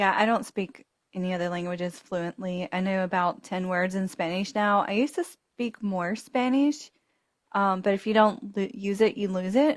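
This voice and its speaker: Speaking with a Southern US accent, a woman uses a medium pitch, ordinary pitch variation and a moderate pace. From Alabama, US South. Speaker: podcast co-host. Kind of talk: casual chat.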